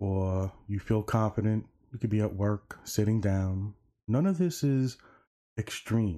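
A man's fairly low, dark, mellow voice carries a gentle tone, moving at a fairly slow pace with ordinary pitch variation. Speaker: addiction and mental health content creator. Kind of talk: guided meditation; informal talk teaching breathing exercises. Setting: online video. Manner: gentle, reassuring, with pauses.

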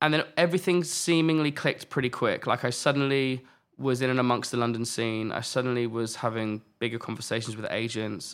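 On a very clean recording with a silent background, a man with a southern English accent speaks at a fairly quick pace and medium pitch, leaving hardly any pauses. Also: ordinary pitch variation. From southern England, Buckinghamshire. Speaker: music artist manager. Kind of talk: interview.

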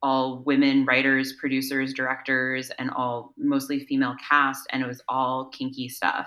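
Speaking at a moderate pace with an American accent, a woman has a very deep, low pitch and a bright, sharp tone. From US East Coast. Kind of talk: casual interview.

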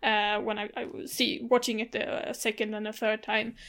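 With a Swedish accent, a woman speaks at a moderate pace in a fairly high pitch, her tone bright and sharp and her intonation fairly even, over a very clean recording with a silent background. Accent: Blekinge Swedish, throaty R. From Sweden, Blekinge. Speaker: film podcast co-host. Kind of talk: casual chat.

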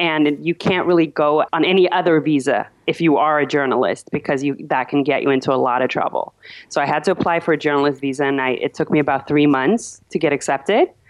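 A woman's very deep, low pitch with ordinary variation, very even loudness, a very fast pace and hardly any pauses. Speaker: journalist. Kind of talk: interview.

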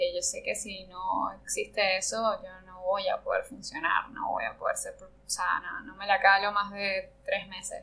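A woman speaks at a fairly slow pace with hardly any pauses, her loudness swinging widely. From Venezuela, Margarita Island. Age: 30s. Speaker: ceramicist. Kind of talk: casual interview. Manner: halting, many fillers. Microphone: poor sound quality.

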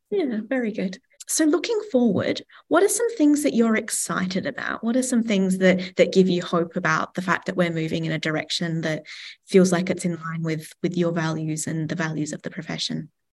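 With an Australian accent, a woman speaks at a moderate pace and a medium pitch, her intonation lively. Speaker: podcast host. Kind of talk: interview conversation.

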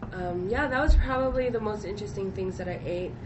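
A woman talks with ordinary pitch variation against noticeable background noise and audible room echo. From Hawaii. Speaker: traveler. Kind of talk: casual chat.

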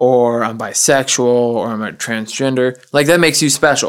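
A plain, everyday voice comes through with fairly even intonation. The recording is very clean, with a silent background. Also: man. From US South. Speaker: podcast guest, auto plant worker. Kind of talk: casual chat.

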